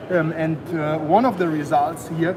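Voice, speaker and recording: Through noticeable background noise and audible room echo, a man talks at a moderate pace in a high pitch with fairly even intonation. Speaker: company representative. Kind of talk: trade show presentation.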